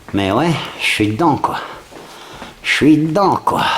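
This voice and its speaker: A man whispers amid noticeable background noise, with audible room echo. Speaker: urban explorer vlogger. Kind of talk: exploration vlog narration. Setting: indoors, abandoned factory. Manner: whispering.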